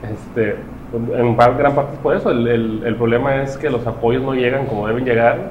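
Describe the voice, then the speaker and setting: A man's medium-pitched voice at a moderate pace, fairly even in intonation, with noticeable background noise and audible room echo. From Mexico. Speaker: podcast co-host. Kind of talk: casual chat.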